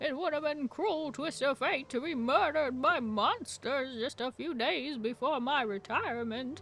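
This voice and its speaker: Performing a put-on character voice, a female-sounding speaker goes at a moderate pace in a high pitch with hardly any pauses. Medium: virtual streamer.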